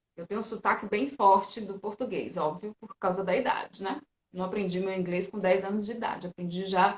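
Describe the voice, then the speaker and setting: This woman has a fairly high pitch and a somewhat breathy voice. She talks at a moderate pace. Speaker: physiotherapist and teacher. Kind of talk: casual interview chat.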